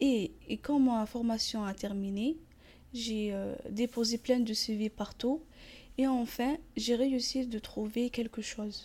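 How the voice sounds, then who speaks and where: Speaking at a very slow pace with a non-native accent, a woman uses a dark, mellow tone and fairly even intonation. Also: fairly high pitch for a woman. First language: not French (speaking French). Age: 20s. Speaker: store manager. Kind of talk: testimony. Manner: halting.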